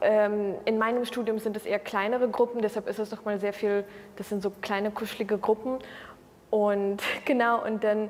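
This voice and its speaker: A woman of fairly high pitch with monotone, flat intonation. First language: Russian (speaking German). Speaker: university student. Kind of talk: interview answers. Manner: hesitant, many fillers.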